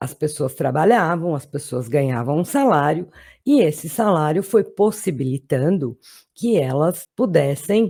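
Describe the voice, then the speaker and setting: A woman with a very deep, low pitch and a dark, mellow tone speaks at a fairly slow pace with lively intonation, in a very clean recording with a silent background. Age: 60s. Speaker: political commentator. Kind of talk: political monologue to camera.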